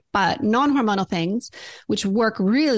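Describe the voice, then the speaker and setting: A woman speaks in a normal speaking voice at a moderate pace with ordinary pitch variation, the background quiet. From Alberta, Canada. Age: 50s. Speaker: naturopathic doctor. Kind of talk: interview.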